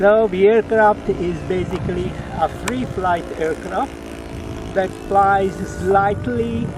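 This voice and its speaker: Amid noticeable background noise, a man with an Italian accent speaks at a very slow pace. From Italy. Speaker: model aircraft hobbyist. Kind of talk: casual interview.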